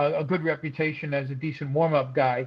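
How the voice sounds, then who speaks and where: This man has a fairly high pitch. He talks with a New York accent. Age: 60s. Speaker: stand-up comedian. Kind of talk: casual chat. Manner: fast; animated.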